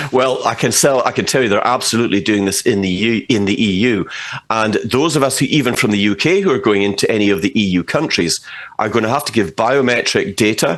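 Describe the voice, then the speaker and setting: A Scottish-accented man at a very fast pace, medium in pitch, with lively intonation. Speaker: political commentator. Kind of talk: interview. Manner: animated.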